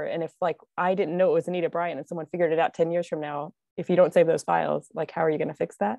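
Against a quiet background, a woman rushes along at a very fast pace, her fairly low voice dark and mellow in tone, with fairly even intonation. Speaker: archivist. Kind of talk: panel discussion. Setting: video call.

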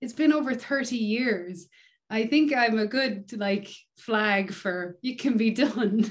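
With an Irish accent, a woman with a fairly high pitch speaks at a very slow pace, somewhat breathy, with ordinary pitch variation against a quiet background. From Ireland. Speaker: touring bass player; podcast guest. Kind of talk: casual interview chat. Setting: video call. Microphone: video call.

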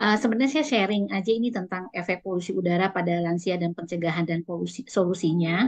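A woman talks at a very fast pace with hardly any pauses, her medium pitch showing ordinary variation against a quiet background. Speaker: lung specialist doctor. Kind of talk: health talk presentation. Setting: video call. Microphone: video call.

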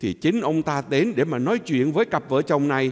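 The background stays quiet. Against it, a man's intonation is lively. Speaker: priest. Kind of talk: homily. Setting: church. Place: church.

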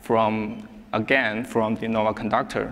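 This man speaks with a Chinese accent. His pace is very slow. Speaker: software engineer; conference presenter. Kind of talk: conference talk. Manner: halting. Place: hall.

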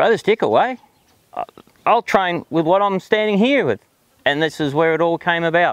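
A man with a strong Australian accent and a high pitch speaks at a moderate pace, very even in loudness, with long, frequent pauses, in a dry sound with no echo against a quiet background. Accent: broad Australian. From South Australia, outback. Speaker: horse trainer. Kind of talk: personal monologue; personal story told to camera. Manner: hesitant, many fillers. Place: farm.

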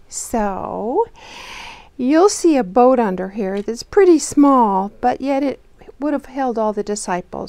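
Her tone is dark and mellow. This woman keeps a moderate pace. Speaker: children's Bible storyteller. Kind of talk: storytelling to children. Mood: warm, gentle. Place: home room.

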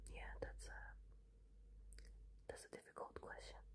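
Loud background noise sits behind a woman's voice. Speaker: ASMR creator. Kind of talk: ASMR soft-spoken questions. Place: home room. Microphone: phone near.

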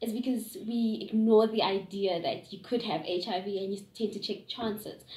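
A woman speaks with fairly even intonation, and the room echo is audible. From South Africa, Gauteng. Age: 20s. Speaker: young interviewee. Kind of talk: interview answers. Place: home room. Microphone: camera far.

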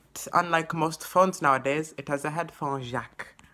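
Music is playing behind the speaker. He is a man. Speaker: vlogger. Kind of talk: casual vlog chat. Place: home room. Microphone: phone near.

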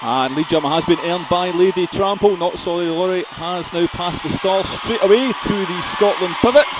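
Noticeable background noise sits under a man speaking at a moderate pace with ordinary pitch variation, the sound dry with no echo. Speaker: sports commentator. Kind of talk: live sports commentary.

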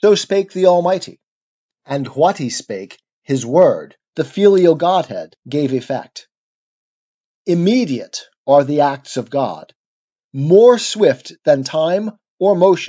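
The speech is very slow and solemn, broken by long, frequent pauses. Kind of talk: poetry reading aloud of an epic poem. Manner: measured, solemn, stately delivery; slow, rhythmic, declamatory.

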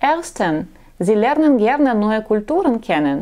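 A woman with a fairly high pitch speaks at a very slow pace, her voice making very wide pitch swings. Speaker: matchmaking agency blogger; dating advice host. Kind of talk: vlog monologue; talk to camera, advice monologue. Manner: halting, with filler sounds. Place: office. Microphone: lapel.

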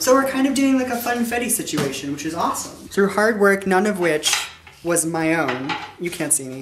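A man speaks over noticeable background noise. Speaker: vlogger. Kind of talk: casual vlog chat. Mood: playful, joking. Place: kitchen. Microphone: camera far.

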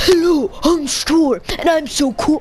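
A man puts on a character voice at an extremely high pitch and a fairly slow pace. Background noise is clearly audible.

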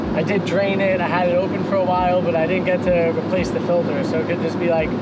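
Speech runs at a very fast pace over loud background noise. The sound is dry, with no echo. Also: man. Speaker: van-life vlogger. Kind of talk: casual vlog chat. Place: car. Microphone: camera far.

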